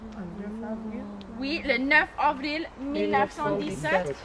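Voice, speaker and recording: Against noticeable background noise, a woman speaks in a raised, projected voice. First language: English (speaking French). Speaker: tour guide. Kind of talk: guided tour talk.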